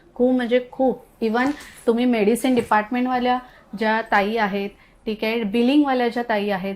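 Noticeable background noise behind a high-pitched woman's voice. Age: 30s. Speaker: fertility clinic patient. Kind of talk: testimonial.

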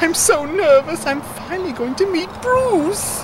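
A cartoonish character voice moves at a fairly slow pace over loud background noise. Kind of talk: comic overacting. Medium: puppet show. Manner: nervous, flustered.

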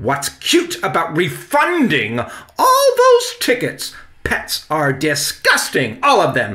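A man puts on a character voice with a bright, sharp tone and a fairly high pitch. He speaks slowly, his pitch swinging very widely.

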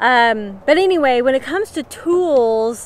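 A woman's high, lively voice in a dry recording with no echo. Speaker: preparedness channel host. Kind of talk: casual vlog chat. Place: open country. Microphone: phone near.

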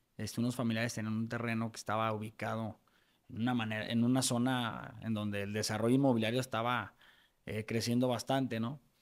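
Speaking at a fairly quick pace, a man uses monotone, flat intonation at a medium pitch. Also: quiet background. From Mexico, Guadalajara; Jalisco, Mexico. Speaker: lawyer and real estate developer; lawyer. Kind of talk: interview conversation. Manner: halting, many fillers. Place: studio. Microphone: studio mic.

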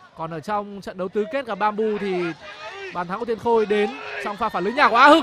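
A man's raised, projected voice, high-pitched and animated, excited, at a very fast pace with big swings in loudness and ordinary pitch variation, over crowd noise in the background. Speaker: football commentator. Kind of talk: live sports commentary on a futsal match, play-by-play with replays. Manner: fast, animated play-by-play delivery that builds to excited calls at goals and penalties; rapid, tense, dramatic.

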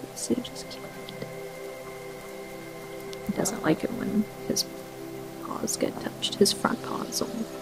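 A woman talks at a fairly slow pace with long, frequent pauses. Noticeable background noise runs under her voice. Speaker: ASMR creator. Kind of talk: ASMR reading. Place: home room.

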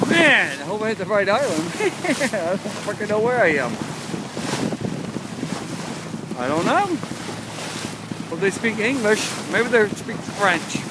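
A man at a fairly slow pace with long, frequent pauses, a dry sound with no echo and loud background noise. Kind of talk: casual vlog chat. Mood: excited, exuberant. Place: boat. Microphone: phone near.

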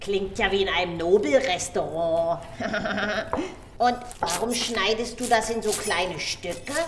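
A cartoonish character voice goes at a fairly slow pace, with clear background noise and a slight echo. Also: woman, medium pitch for a woman. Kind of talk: children's puppet theatre. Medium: puppet show. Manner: chirpy, excited, chatty.

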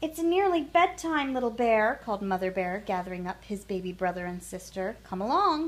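The clip is plain reading aloud. Someone reads a text out loud.

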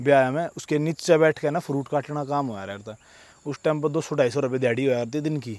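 The recording is dry with no echo as a man speaks in a fairly high pitch with ordinary pitch variation. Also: moderate pace. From Haryana, Sonipat; Haryana. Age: 20s. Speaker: wrestler and fitness vlogger; vlogger. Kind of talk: casual vlog monologue. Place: open country. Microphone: handheld.

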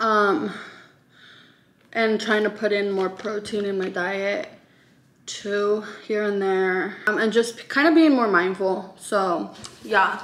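Very slow speech from a woman, pitch varying in an ordinary way. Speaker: lifestyle vlogger. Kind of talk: casual vlog chat. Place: kitchen. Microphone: camera far.

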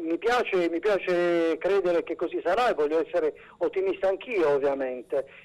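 The man's pitch is high, with ordinary variation. He speaks at a moderate pace. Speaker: regional environment councillor, interviewee. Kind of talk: formal political interview. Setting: phone or remote link. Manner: hesitant, formal, self-correcting.

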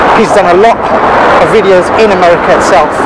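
A man's voice is heard with a dry sound and no echo, over loud background noise. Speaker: travel vlogger. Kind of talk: casual vlog chat. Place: street. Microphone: phone near.

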